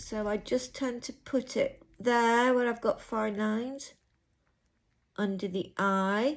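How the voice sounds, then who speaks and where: Set against a very clean recording with a silent background, a woman with a fairly high pitch talks at a very slow pace with fairly even intonation. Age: 50s. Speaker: beauty vlogger. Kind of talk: tutorial. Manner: casual.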